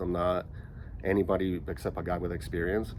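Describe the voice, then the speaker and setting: Vocal fry runs through this man's very deep, low voice as he talks with fairly even intonation in a room with audible echo. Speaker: vlogger who stutters. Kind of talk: casual vlog talk. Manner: choppy, halting.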